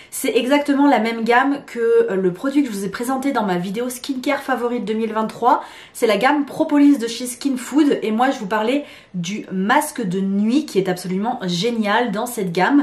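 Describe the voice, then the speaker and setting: Noticeable background noise runs behind a woman with a high pitch. She talks at a moderate pace with ordinary pitch variation. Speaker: beauty content creator. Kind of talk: product review vlog. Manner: casual, conversational with hesitations.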